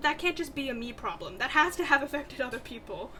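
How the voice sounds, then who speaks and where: The woman projects a raised voice above noticeable background noise. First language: Bengali. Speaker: writing vlogger. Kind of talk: casual vlog chat. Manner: chatty, conversational.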